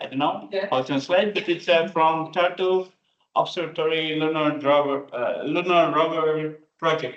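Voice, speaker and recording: A man with an ordinary speaking voice, fairly high in pitch, with fairly even intonation and a fairly slow pace. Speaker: lecture host. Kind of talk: speaker introduction.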